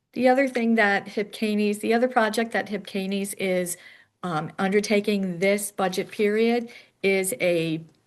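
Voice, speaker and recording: A woman talks at a moderate pace in a normal speaking voice, at medium pitch with fairly even intonation. The background is quiet. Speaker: home care association staff presenter. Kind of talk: online forum presentation.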